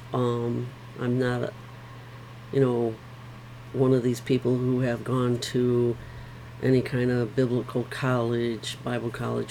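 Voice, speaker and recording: Noticeable background noise sits behind a woman with a very deep, low pitch. Her intonation is monotone and flat, with long, frequent pauses. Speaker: Bible reading vlogger. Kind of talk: reading aloud with discussion. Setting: home bedroom. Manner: slow; halting.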